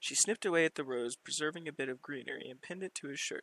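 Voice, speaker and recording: A man's bright, sharp voice at a fairly quick pace, with ordinary pitch variation and a dry, close sound with no echo. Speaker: amateur audiobook reader. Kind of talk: reading aloud. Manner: halting, stutters when reading aloud; casual, many fillers in outro.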